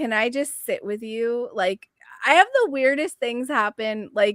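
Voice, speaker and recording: Loud and high-pitched, a woman speaks fairly slowly with lively intonation in a dry, close recording with no echo. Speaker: numerologist and intuitive guide. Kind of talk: casual chat. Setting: live video stream.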